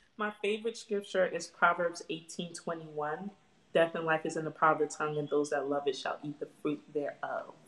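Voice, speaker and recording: At a moderate pace, a woman talks with a fairly low pitch and fairly even intonation over noticeable background noise. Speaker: motivational speaker and singer. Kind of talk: casual interview chat. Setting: video call.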